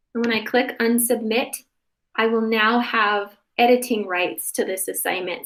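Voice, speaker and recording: A woman with a fairly high pitch talks in a normal speaking voice at a moderate pace, her intonation fairly even. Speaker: workshop presenter for parents. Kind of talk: tutorial.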